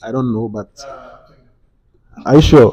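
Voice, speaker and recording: The man's voice sits at a medium pitch, with a dark, mellow tone and fairly even intonation. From Ghana. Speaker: talk show host. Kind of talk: casual group discussion.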